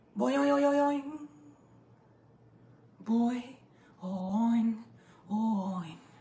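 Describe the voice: Using a put-on character voice, a woman talks at a very slow pace with long, frequent pauses, her fairly high pitch making very wide swings.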